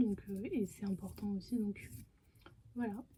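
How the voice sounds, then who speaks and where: The woman's voice is somewhat breathy, with a dark, mellow tone. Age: 20s. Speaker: YouTuber. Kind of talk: casual vlog Q&A. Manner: hesitant, many fillers.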